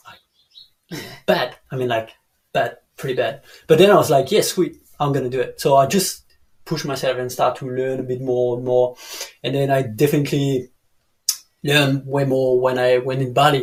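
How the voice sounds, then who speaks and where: Someone with a French accent talks at a fairly quick pace in a somewhat breathy voice, with fairly even intonation and long, frequent pauses. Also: man, medium pitch for a man. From France (Dijon). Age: 30s. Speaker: canyoning guide. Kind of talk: casual interview chat. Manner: halting, many fillers.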